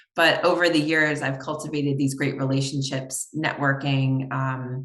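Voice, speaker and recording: A woman with an American accent speaks at a moderate pace in a very deep, low voice with monotone, flat intonation. Noticeable background noise can be heard. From New York. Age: 40s. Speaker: optometrist and consultant. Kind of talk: podcast interview.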